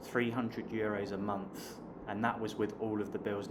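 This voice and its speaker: A man with a southern English accent speaks at a medium pitch and a moderate pace. There is noticeable background noise and audible room echo. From southern England (Hampshire). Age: 30s. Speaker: online business coach and vlogger. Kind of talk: casual vlog talk to camera. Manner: hesitant, with fillers and repeated words.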